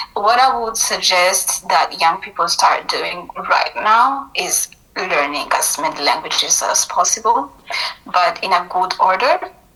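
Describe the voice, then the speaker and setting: Against noticeable background noise, a woman talks at a fairly slow pace. Her medium-pitched voice has lively intonation. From Burundi, Bujumbura. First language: Kirundi and French. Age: 20s. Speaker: university student. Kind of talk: interview.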